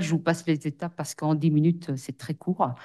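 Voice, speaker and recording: Against a quiet background, a woman speaks at a moderate pace. Her voice sits fairly low in pitch. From Belgium, Brussels. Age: 40s. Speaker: social worker. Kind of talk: testimony. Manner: hesitant, many fillers.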